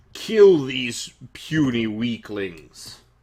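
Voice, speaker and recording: In a put-on character voice of low-to-middle pitch, the speaker shouts and bellows. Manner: bellowing, screaming battle cry.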